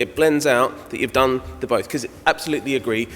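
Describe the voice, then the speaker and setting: Noticeable background noise fills the clip. A man talks at a very fast pace. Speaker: radiographer speaker at conference. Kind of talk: conference talk and Q&A answer.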